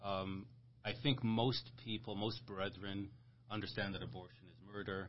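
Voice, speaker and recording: A man's fairly low, somewhat breathy voice with ordinary pitch variation, big swings in loudness and a moderate pace. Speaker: podcast host. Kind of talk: religious discussion podcast. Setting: video podcast recorded in a room.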